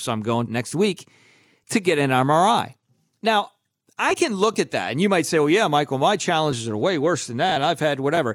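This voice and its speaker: Fairly high in pitch, a man talks at a fairly quick pace in an animated tone with lively intonation. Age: 40s. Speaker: motivational podcast host and speaker. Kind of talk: casual encouraging monologue.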